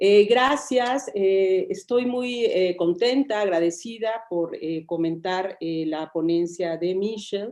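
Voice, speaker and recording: In a Spanish accent, a woman at medium pitch speaks at a fairly slow pace with ordinary pitch variation and hardly any pauses. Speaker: historian, discussant. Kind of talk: academic commentary. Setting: video conference.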